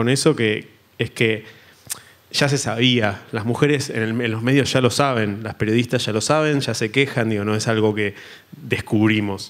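Medium pitch, ordinary variation in it, and a moderate pace from a male speaker. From Argentina. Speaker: graphic designer; panelist. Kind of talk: panel discussion; panel discussion talk. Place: stage. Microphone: handheld.

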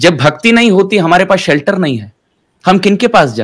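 The speaker goes at a fairly slow pace over a quiet background. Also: man. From Mumbai, India; India. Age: 20s. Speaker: spiritual teacher. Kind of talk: interview. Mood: calm, warm, explanatory. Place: home room. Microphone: webcam.

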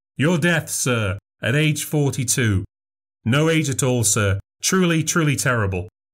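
A man puts on a raspy character voice at a medium pitch with lively intonation and a fairly slow pace. His loudness stays very even, and the recording is very clean with a silent background. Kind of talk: old-fashioned music hall showman. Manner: theatrical and courteous, then ominous.

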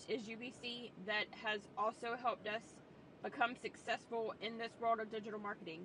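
The pitch varies in an ordinary way. Light background noise can be heard. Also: woman, dry sound with no echo. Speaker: online business coach. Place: car. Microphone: phone near.

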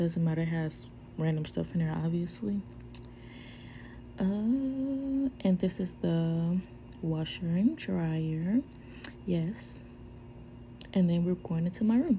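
Over light background noise, a woman with a fairly low, somewhat breathy voice and a dark, mellow tone speaks very slowly, her pitch swinging very widely, with long, frequent pauses. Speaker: vlogger living on an air force base. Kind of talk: casual vlog tour. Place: home room. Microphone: phone near.

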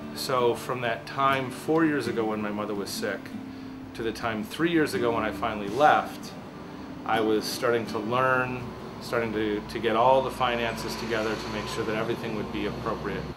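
Clear music plays in the background as a man speaks at a moderate pace. His medium pitch shows ordinary variation. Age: 40s. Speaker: photographer. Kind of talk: interview testimony. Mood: warm, reflective. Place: home room.

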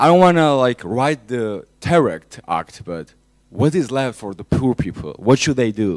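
At a moderate pace and a medium pitch, a man talks over a quiet background, with very wide pitch swings and big jumps in loudness. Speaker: audience member asking a question at a university lecture. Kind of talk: audience question at a public lecture. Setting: lecture hall. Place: classroom.

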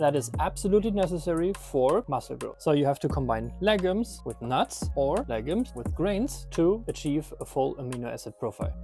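A man's voice in a dry sound with no echo, with faint music in the background. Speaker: nutrition creator. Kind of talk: explainer skit answering a doubter. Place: garden. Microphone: lapel.

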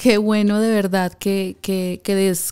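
A woman's very slow, monotone, flat delivery over faint background music. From Colombia, Valledupar; Colombia. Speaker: podcast host. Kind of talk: interview conversation. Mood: warm, appreciative. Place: studio. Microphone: studio mic.

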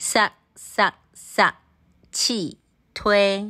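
A woman talks at a medium pitch with a bright, sharp tone. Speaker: language teacher. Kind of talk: vocabulary drill. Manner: slow.

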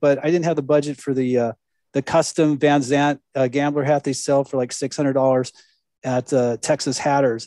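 A man's fairly high-pitched voice with a dark, mellow tone, fairly even intonation and moderate pace, in a dry, close sound with no echo over a quiet background. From Southern California. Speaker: podcast host. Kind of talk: interview.

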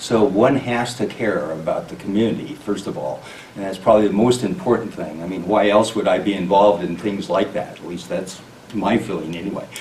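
A man with a fairly low voice at a fairly quick pace, with audible room echo and light background noise. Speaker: candidate. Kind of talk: interview answer. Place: meeting room.

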